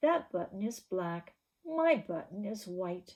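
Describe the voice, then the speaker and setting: A put-on character voice speaks at a fairly slow pace. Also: woman, medium pitch for a woman. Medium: read story.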